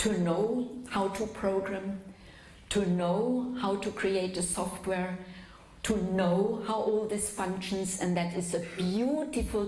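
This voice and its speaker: In a German accent, a woman speaks at medium pitch and a fairly slow pace, with ordinary pitch variation and very even loudness. Audible room echo and noticeable background noise are present. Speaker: physician and lecturer. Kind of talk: lecture. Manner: slow, for the interpreter.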